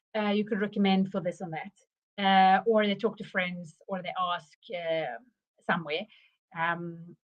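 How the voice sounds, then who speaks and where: A woman with a South African accent, medium pitch, ordinary pitch variation, moderate pace, long and frequent pauses, and big swings in loudness. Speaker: marketing consultant. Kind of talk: live webinar presentation. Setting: livestream. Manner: halting, many fillers.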